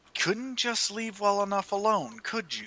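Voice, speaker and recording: A man puts on a gruff, growling character voice pitched high. His pace is moderate. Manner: growling, gruff.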